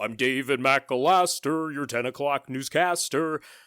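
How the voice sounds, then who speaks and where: A man adopts a put-on character voice, pitched fairly high and delivered at a moderate pace. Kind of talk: formal broadcast announcer.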